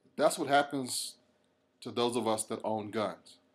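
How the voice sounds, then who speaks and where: A man with an American accent speaks very slowly at a medium pitch, his intonation fairly even. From United States. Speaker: reverend, gun rights activist. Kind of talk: podcast commentary.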